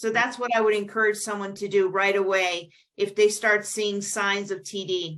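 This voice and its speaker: At a moderate pace, a woman talks in a medium-pitched voice with monotone, flat intonation. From US Midwest, Chicago. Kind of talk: interview. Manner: halting, many fillers.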